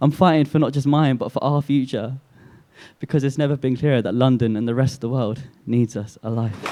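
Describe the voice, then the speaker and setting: With a dark, mellow tone, a man speaks at medium pitch and a fairly quick pace, his intonation fairly even. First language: Urdu. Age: young. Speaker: spoken word poet. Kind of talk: spoken word poetry performance. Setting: coffee house open mic night. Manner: emotive, hard-hitting.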